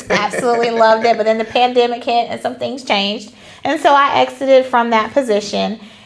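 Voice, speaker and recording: Noticeable background noise sits behind a woman with an American accent. She talks at a fairly quick pace and a fairly high pitch with fairly even intonation. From Charlotte, North Carolina. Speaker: line dance instructor and teacher. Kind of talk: interview.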